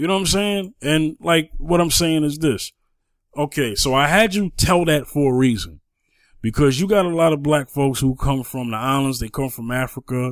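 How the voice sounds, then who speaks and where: Over a very clean recording with a silent background, a man with an ordinary speaking voice talks at a fairly high pitch, with ordinary pitch variation and a moderate pace. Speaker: podcast co-host. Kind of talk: casual chat.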